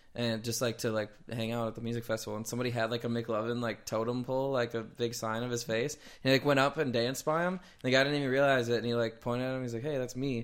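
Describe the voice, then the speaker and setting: A man's medium-pitched voice in an American accent, very fast with hardly any pauses, flat and monotone, on a very clean recording with a silent background. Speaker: podcast host. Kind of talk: casual chat.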